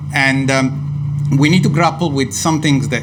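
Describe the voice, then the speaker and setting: A man with an Italian accent speaks at medium pitch and a fairly slow pace. Audible room echo and noticeable background noise are present. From Italy. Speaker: neuroscience professor. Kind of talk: panel debate. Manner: hesitant, many fillers.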